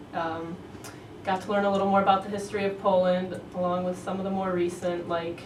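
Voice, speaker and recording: Amid noticeable background noise and audible room echo, a woman speaks fairly quickly at a medium pitch with monotone, flat intonation. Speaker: university student. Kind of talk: interview.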